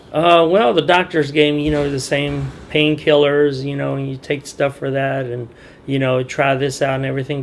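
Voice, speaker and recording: Noticeable background noise sits under a man speaking at a moderate pace. He has a fairly high pitch and fairly even intonation. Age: 50s. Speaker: dock worker. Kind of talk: interview answer.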